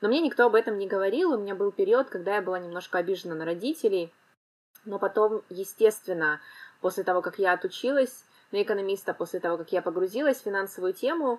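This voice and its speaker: This woman's voice sits at a medium pitch with lively intonation. She talks at a very fast pace. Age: 30s. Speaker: financial literacy expert, podcast co-host. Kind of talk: casual chat.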